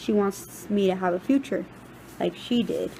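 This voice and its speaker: With noticeable background noise behind her, a woman speaks at a medium pitch and moderate pace in an American accent. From Texas, Rio Grande Valley. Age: 20s. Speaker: university student. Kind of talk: personal narrative presentation.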